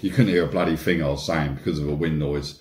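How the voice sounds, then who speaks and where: A man speaks with audible room echo. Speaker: e-bike vlogger. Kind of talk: casual vlog chat. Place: kitchen. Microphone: phone near.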